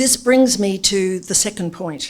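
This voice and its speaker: Fairly slow speech from a woman with an Australian accent. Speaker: former politician and business consultant. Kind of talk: speech to an audience. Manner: formal.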